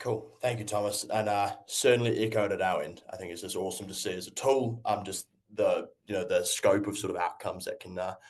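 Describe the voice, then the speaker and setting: Fairly quick speech with hardly any pauses, big swings in loudness and a New Zealand accent. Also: man. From New Zealand, North Island. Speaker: agtech company representative. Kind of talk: webinar presentation.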